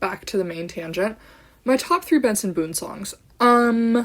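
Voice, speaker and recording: Lively intonation and an animated tone run through this woman's speech. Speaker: podcaster. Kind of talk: casual chat.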